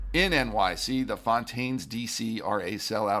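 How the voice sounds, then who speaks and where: A man speaks with vocal fry at a fairly low pitch. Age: over 25. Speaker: podcast host. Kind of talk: daily news podcast read.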